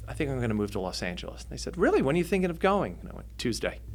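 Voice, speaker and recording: A man with an American accent at a very fast pace, with audible room echo. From New Jersey. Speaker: filmmaker. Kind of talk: interview storytelling. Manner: animated.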